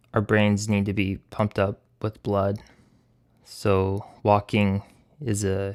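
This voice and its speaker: In a very clean recording with a silent background, a man speaks at a fairly low pitch in a flat monotone. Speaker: animator. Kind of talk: voice-over Q&A monologue. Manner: halting.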